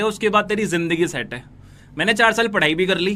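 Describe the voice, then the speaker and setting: A man's raised, projected voice, high-pitched with a bright, sharp tone and fairly even intonation. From northern India, Noida. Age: 20s. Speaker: digital entrepreneur promoting online business. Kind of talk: motivational sales pitch.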